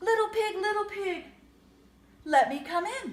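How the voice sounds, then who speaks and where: Putting on a squeaky character voice, a woman speaks at an extremely high pitch and a moderate pace. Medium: read story.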